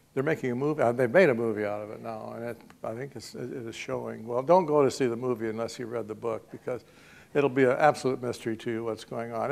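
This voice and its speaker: A man talks very quickly at a medium pitch, and his pitch varies in an ordinary way. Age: 80s+. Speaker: professor. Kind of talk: public talk. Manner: halting.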